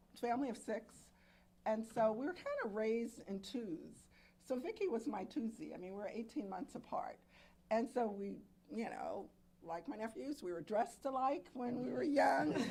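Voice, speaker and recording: A woman's lively intonation at a moderate pace, over noticeable background noise. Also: fairly high pitch for a woman. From Alexandria, Virginia. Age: 70s. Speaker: murder victim's sister. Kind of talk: press conference remarks.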